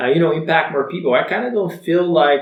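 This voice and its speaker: A man in a Bulgarian accent at a fairly quick pace. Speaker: online entrepreneur. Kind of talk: personal story vlog.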